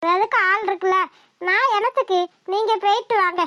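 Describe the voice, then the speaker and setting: In a squeaky, cartoonish character voice at an extremely high pitch, a woman speaks with fairly even intonation in a dry, close sound with no echo. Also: moderate pace. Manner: calm, motherly.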